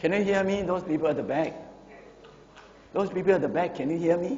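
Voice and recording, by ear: At a fairly quick pace, a man with a high voice and a slightly mellow tone speaks with ordinary pitch variation amid audible room echo.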